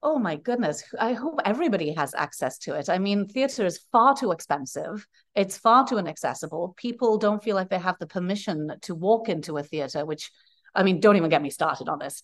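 Woman with a Welsh accent, medium pitch, very wide pitch swings and a fairly quick pace. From Wales. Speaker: playwright. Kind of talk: interview. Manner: animated.

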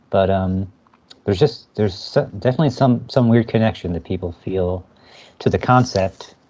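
A man with an American accent uses a normal speaking voice at a fairly low pitch. He keeps a moderate pace with ordinary pitch variation. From New Jersey. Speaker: filmmaker. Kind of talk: interview.

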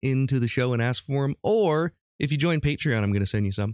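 Heard on a very clean recording with a silent background and a dry, close sound with no echo, a man with a normal speaking voice uses a medium pitch and lively intonation. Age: 40s. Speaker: podcast host. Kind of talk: casual chat.

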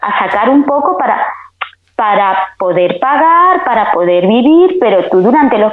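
A woman's fairly high voice at a fairly slow pace, with very wide pitch swings and audible room echo. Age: 40s. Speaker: beauty technician. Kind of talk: casual chat.

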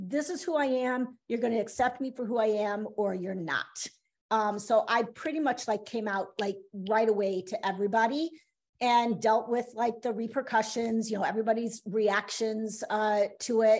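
A woman talks at a moderate pace in a plain, everyday voice. Her pitch is fairly high with ordinary variation, against a quiet background. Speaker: interview guest, half of a married couple. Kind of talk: casual chat.

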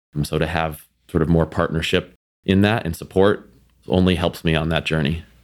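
A man with an American accent and a very deep, low pitch talks at a fairly quick pace with fairly even intonation. The recording is very clean, with a silent background. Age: 30s. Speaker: food company vice president. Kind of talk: interview conversation.

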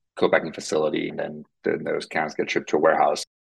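A man is speaking. He talks with a Finnish accent. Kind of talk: interview.

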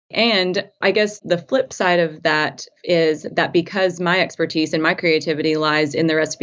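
A woman with an American accent talks in a very deep, low pitch, her intonation fairly even. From US South, Tennessee. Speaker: food blogger and culinary professional. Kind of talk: casual interview chat.

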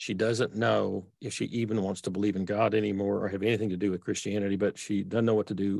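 A man speaks at a fairly quick pace in a fairly low pitch with a Texas accent, his intonation fairly even over a quiet background. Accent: Texas accent, persistent. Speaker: author and theologian. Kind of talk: interview conversation. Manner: simple, unpretentious delivery.

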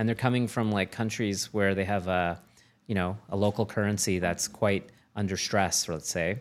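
The recording is very clean, with a silent background, as a man with a Canadian accent and fairly low pitch speaks. He has an unremarkable speaking voice, a moderate pace and fairly even intonation. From Canada, moved around West and Maritimes. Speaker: tech accelerator managing director and investor. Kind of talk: interview conversation.

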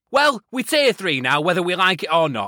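A man talks at a fairly quick pace in a bright, sharp tone. The recording is very clean, dry and close, with a silent background and no echo. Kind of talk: comic character rant, parody on-the-ground correspondent segment. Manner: ranting, sweary, exasperated, sarcastic.

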